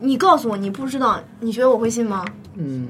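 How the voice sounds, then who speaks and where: A woman speaks at a very fast pace with lively intonation and a fairly high pitch. Noticeable background noise is present. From Shaanxi, Weinan. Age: 20s. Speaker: podcast guest. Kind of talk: casual chat. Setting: studio.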